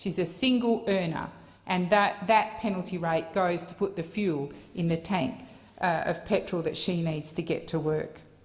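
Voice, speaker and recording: With an Australian accent, a woman speaks at a moderate pace in a fairly low, somewhat breathy voice with ordinary pitch variation. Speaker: senator. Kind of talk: parliamentary speech. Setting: Senate chamber. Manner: formal.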